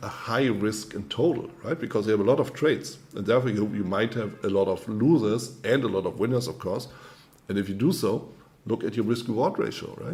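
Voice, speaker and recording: A man with a German accent, somewhat breathy and medium in pitch, at a fairly quick pace with ordinary pitch variation. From Germany. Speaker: trading coach. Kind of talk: webinar presentation. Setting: online webinar.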